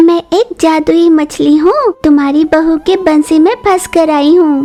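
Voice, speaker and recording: Using a cartoonish character voice, a woman speaks at a moderate pace with an extremely high pitch. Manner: demanding, impatient.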